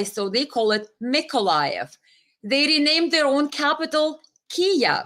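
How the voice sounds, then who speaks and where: A woman speaks in an animated tone. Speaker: political live streamer. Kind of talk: live stream commentary. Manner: halting, many fillers.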